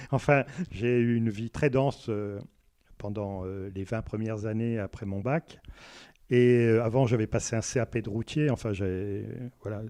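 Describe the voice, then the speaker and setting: A man's dark, mellow tone with fairly even intonation and long, frequent pauses over a quiet background. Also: medium pitch for a man, fairly slow pace. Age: 60s. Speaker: self-taught botanist and local association member. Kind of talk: radio interview. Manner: hesitant, many filler words.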